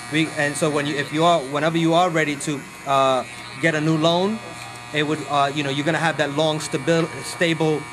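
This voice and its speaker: In a room with audible echo and noticeable background noise, a man speaks at a fairly quick pace with a fairly high pitch. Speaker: real estate investing trainer. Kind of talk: tutorial; sales pitch. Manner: animated.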